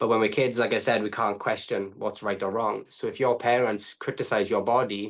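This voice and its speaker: Against a quiet background, a man with a Welsh accent speaks at a medium pitch in a monotone, flat intonation. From Wales. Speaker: trauma coach. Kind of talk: podcast interview. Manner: fast.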